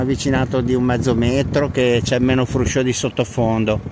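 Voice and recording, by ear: A man talks at a fairly quick pace with little pitch movement, with clear background noise present.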